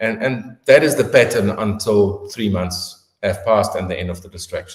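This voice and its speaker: A man with a South African accent speaks at a moderate pace. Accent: South African, getting heavier. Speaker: orthopedic surgeon. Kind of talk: interview answering questions. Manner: hesitant fillers.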